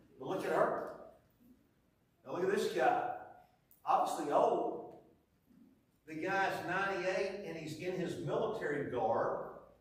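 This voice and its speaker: With an American accent, a man speaks at a fairly slow pace, leaving long, frequent pauses, his loudness swinging widely amid audible room echo. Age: 60s. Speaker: preacher. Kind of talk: sermon. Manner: animated.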